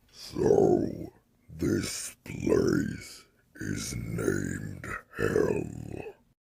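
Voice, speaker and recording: Growling, a man puts on a character voice. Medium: audio drama. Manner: terse, menacing.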